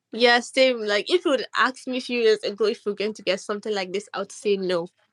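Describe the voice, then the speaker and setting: Very fast and fairly high-pitched, a woman's voice shows big swings in loudness alongside ordinary pitch variation. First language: not English. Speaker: artist. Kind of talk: casual chat. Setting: online audio room. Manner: halting.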